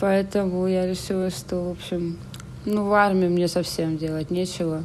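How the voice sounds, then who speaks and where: A woman speaks with ordinary pitch variation. There is noticeable background noise and audible room echo. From Saint Petersburg, Russia. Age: 30s. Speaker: emigrant. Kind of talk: casual chat.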